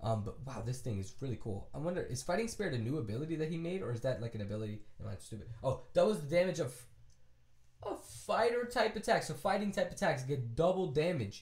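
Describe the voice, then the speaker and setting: Using an American accent, a man races along at a very fast pace, his fairly high voice showing vocal fry and very wide pitch swings. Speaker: gaming YouTuber. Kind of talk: casual chat. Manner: animated, casual.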